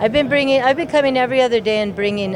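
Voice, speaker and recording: The speech has lively intonation over noticeable background noise. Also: woman. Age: 60s. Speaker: event participant. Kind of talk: interview. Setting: at a live event.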